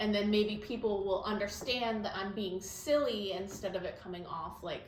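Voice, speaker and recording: Amid noticeable background noise and audible room echo, a woman speaks at medium pitch and moderate pace with fairly even intonation. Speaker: podcast co-host and sewing teacher. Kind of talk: casual chat. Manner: flat, low-key delivery.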